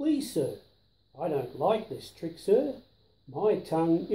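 The voice here is an unforced reading voice.

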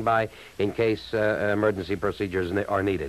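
The recording of this man's voice is dry, without any echo. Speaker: local radio announcer. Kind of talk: emergency radio broadcast, reading closings and cancellations. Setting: AM radio broadcast. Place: studio. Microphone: old recording.

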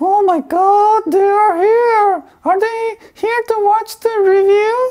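Squeaky and extremely high, the put-on character voice drags along at a very slow pace. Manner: excited.

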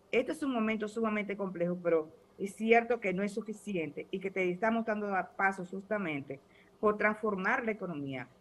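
The speech moves at a fairly quick pace. Pitch varies in an ordinary way. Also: woman. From Dominican Republic. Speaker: ruling party official; guest. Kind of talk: political debate panel. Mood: assertive, argumentative. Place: home room. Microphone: video call.

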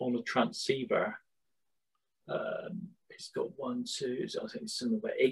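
A man speaks against a quiet background. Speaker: guest lecturer. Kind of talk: lecture. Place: home room. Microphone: video call.

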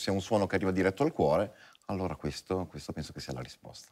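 A man with a fairly low voice talks against a quiet background. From Italian origin. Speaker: violinist; guest. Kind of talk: TV interview. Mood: calm, thoughtful. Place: studio. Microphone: lapel.

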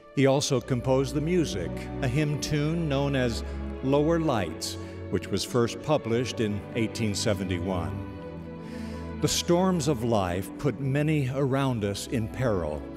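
Over music in the background, a man at medium pitch speaks at a fairly slow pace, with very wide pitch swings but very even loudness. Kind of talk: spoken-word inspirational narration (radio devotional).

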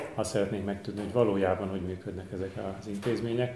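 Loud noise fills the background. Over it, a man talks. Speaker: institute event host and moderator. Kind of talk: formal introduction and moderating. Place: hall. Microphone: podium.

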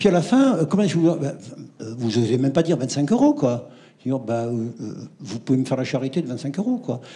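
A man speaks in a dark, mellow tone that is somewhat breathy. His intonation is lively while his pace stays fairly slow. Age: 70s. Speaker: retired doctor, audience member; audience member. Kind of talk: audience question. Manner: animated. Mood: indignant, nostalgic. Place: hall.

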